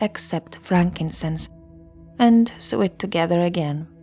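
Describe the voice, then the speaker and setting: A woman's fairly low voice with ordinary pitch variation, music playing in the background. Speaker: history podcast narrator. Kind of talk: sleep story history narration. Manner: soft, calm ASMR narration.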